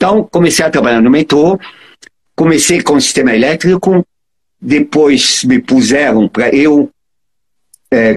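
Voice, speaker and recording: A voice with a strong non-native accent speaks at a fairly slow pace with lively intonation, in a dry, close sound with no echo. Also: man. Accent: foreign accent in Portuguese, strong. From Egypt (Cairo). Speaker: electrical engineer and transport consultant. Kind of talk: interview. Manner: halting, repeats words.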